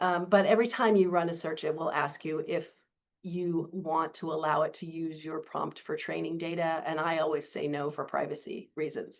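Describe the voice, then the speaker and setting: A woman with a plain, everyday voice speaks at a moderate pace in a fairly low pitch. Her intonation is fairly even, and the background is quiet. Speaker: librarian and webinar instructor; webinar instructor. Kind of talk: webinar tutorial.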